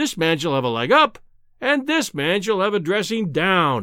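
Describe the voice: In a very clean recording with a silent background, a put-on character voice swings widely in pitch with a bright, sharp tone. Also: man, high pitch for a man, moderate pace.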